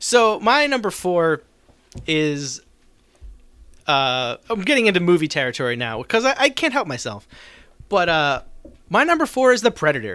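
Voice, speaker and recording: A man with an American accent speaks at a high pitch, his bright, sharp tone sweeping through very wide pitch swings, broken by long, frequent pauses in a very clean recording with a silent background. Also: moderate pace. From US, South Jersey. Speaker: podcast host. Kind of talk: casual chat.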